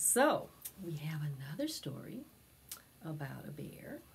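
In a room with audible echo, a woman talks slowly at a low pitch, her voice showing vocal fry and big pitch swings.

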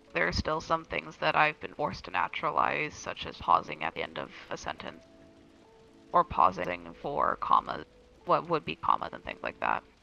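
In a raspy, put-on character voice, a man speaks at a moderate pace with big swings in loudness, the sound dry and close with no echo and music in the background. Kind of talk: interview answer. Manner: little vocal inflection. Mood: calm, reflective.

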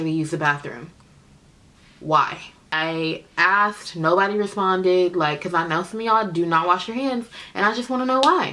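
A woman with an American accent speaks at a fairly quick pace in a medium pitch, her tone bright and sharp. Her pitch varies in an ordinary way, with light background noise behind her. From Oakland, California. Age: 20s. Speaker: beauty vlogger, makeup artist. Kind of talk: casual Q&A vlog. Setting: home video recording. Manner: chatty, informal. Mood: relaxed, candid, humorous.

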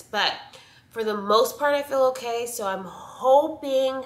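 A nasal woman's voice at a fairly slow pace, with audible room echo

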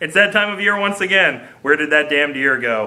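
This is a man. He speaks at a very fast pace. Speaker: podcast host. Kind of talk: comedic podcast intro read from a script. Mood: playful, jokey. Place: home room. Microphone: webcam.

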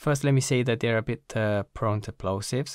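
Over a quiet background, a man talks at a fairly quick pace with ordinary pitch variation and a dry sound with no echo. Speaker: gear reviewer. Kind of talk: product review. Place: home room. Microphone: studio mic.

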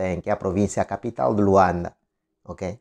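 At a moderate pace, a man speaks in a fairly low, dark, mellow tone against a quiet background. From Angola. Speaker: online commentator. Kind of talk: political commentary monologue. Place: home room. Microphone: lapel.

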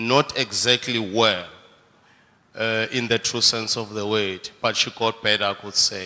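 A man's medium-pitched, monotone voice with flat intonation at a fairly slow pace. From South Africa. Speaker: church member. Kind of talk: testimony. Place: church. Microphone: handheld.

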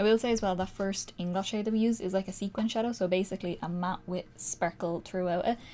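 A woman talks at a very fast pace. Her voice has a medium pitch and a dark, mellow tone. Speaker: makeup youtuber. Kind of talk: tutorial. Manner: animated.

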